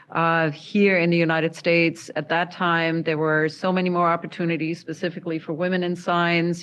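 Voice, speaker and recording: A woman speaks with a German accent at a fairly low pitch. Her delivery is monotone and flat. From Germany. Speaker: university dean and educator. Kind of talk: panel discussion.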